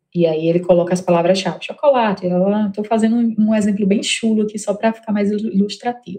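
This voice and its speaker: A woman's medium-pitched voice with a northeastern Brazilian accent, at a fairly quick pace with hardly any pauses and fairly even intonation. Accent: northeastern Brazilian accent, noticeable. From Northeast Brazil, Mossoró (Rio Grande do Norte). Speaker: HR tech founder. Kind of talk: interview.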